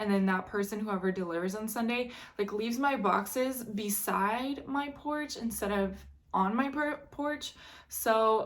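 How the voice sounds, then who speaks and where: A woman with a plain, everyday voice and a fairly high pitch talks at a fairly slow pace with ordinary pitch variation. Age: 20s. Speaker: online reseller and vlogger. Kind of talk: casual unboxing vlog. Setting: at home.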